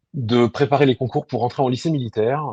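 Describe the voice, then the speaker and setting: A man with a medium pitch has a dark, mellow tone. The sound is dry and close, with no echo. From France (Burgundy and Lyon). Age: 40s. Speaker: army officer. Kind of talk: interview. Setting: webinar. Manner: hesitant, many fillers.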